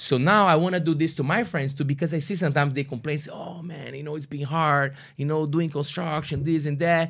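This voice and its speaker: Over a very clean recording with a silent background, a man with a Brazilian accent speaks fairly quickly with hardly any pauses. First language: Portuguese. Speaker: artist. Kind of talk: casual chat. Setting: studio.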